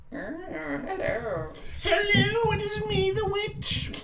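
Someone speaks in a put-on character voice over loud background noise.

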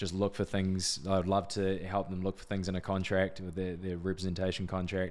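A man with a New Zealand accent speaks at a moderate pace in a very deep, low voice and a flat monotone, on a very clean recording with a silent background. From New Zealand, Wanganui. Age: 20s. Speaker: sports agent. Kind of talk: casual interview.

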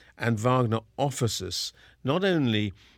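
A medium-pitched man with a southern English accent, on a very clean recording with a silent background. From southern England (Kingston upon Thames). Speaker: opera company general director. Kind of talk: interview monologue. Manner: hesitant, with fillers and repetitions.

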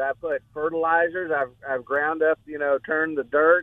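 The man has a plain, everyday voice. His pitch sits fairly high, and his pace is moderate. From Texas (Corpus Christi). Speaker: caller. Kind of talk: call-in question. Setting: phone call.

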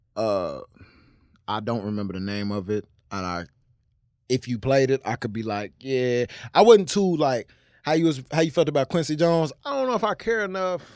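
On a very clean recording with a silent background, a man talks with very wide pitch swings and long, frequent pauses. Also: medium pitch for a man, moderate pace, dry, close sound with no echo. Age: 20s. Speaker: podcast co-host. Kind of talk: casual chat.

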